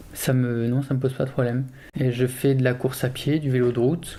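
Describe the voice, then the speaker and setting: A man's medium-pitched voice with a dark, mellow tone and monotone, flat intonation. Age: 30s. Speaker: amputee mountain biker and engineer. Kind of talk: documentary interview testimony. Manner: hesitant, many fillers.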